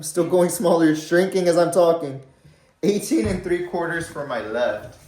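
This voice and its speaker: There is noticeable background noise and audible room echo as a man speaks at a high pitch. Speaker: fitness vlogger. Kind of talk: casual vlog talk. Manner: casual, filler-heavy.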